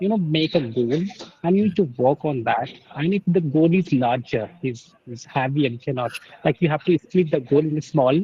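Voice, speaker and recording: With noticeable background noise behind him, a man speaks in an Indian accent at a fairly high pitch with ordinary pitch variation. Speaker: English learner. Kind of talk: conversation practice. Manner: fast; halting.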